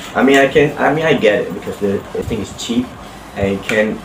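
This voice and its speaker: A man speaks at a fairly quick pace in a medium pitch, with noticeable background noise. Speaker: toy blaster reviewer. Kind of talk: casual product review to camera. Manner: stuttering, halting.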